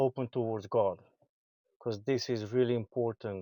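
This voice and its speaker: In a very clean recording with a silent background, a man speaks with fairly even intonation and a dark, mellow tone. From Romania. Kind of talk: street interview. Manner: halting.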